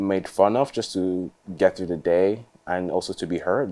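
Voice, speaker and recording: A man speaks at a moderate pace in a very deep, low pitch. His tone is dark and mellow, with fairly even intonation. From Nigeria. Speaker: interviewee, friend of filmmaker. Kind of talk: documentary interview.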